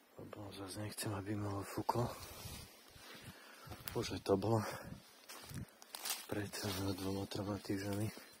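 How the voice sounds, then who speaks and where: A man's flat, monotone delivery at a fairly slow pace, with long, frequent pauses and noticeable background noise. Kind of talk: ASMR forest walk talk to camera. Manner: soft-spoken, calm.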